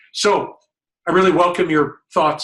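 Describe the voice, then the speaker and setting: Speaking at a fairly slow pace, a man with an unremarkable speaking voice uses ordinary pitch variation. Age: 60s. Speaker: health journalism watchdog, site founder. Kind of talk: webinar presentation. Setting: online webinar.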